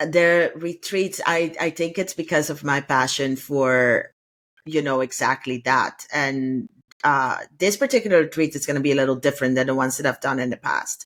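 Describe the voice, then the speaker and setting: On a very clean recording with a silent background, a woman's very deep, low voice moves at a moderate pace with ordinary pitch variation. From Curaçao. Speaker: travel retreat organizer. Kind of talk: podcast interview.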